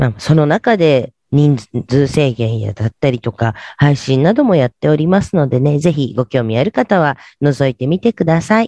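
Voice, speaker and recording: Lively in intonation and moderate in pace, a man talks at a fairly high pitch with a dark, mellow tone. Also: dry, close sound with no echo. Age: 50s. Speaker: internet radio host. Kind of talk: radio show talk. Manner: polite, many fillers.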